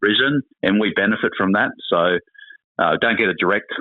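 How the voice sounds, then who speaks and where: A man with an Australian accent. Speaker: former politician and sports administrator. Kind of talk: casual interview.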